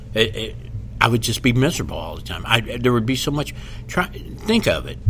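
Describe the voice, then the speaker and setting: Noticeable background noise accompanies a man speaking fairly quickly with an American accent. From Kentucky, Louisville. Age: 60s. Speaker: comedian. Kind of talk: casual chat. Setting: podcast interview.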